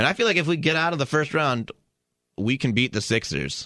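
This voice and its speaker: Very fast and full of very wide pitch swings, a man speaks at a fairly high pitch with vocal fry in a very clean recording with a silent background. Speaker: actor. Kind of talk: casual chat.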